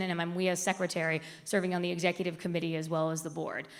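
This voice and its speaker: A woman's fairly quick speech, with audible room echo. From US South, raised outside Atlanta, Georgia. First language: Spanish. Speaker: media executive and diversity speaker. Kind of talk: conference presentation. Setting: stage with audience.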